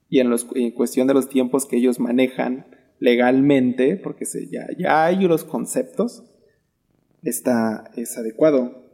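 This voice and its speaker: Ordinary pitch variation marks this dark, mellow voice at a fairly slow pace. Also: man, medium pitch for a man. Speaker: podcast co-host. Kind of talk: casual chat. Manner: halting.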